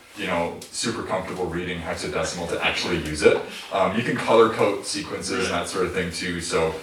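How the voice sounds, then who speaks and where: Fairly quick speech from a man, with audible room echo and noticeable background noise. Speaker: electronic musician. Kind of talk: Q&A after a live performance. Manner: hesitant, many fillers.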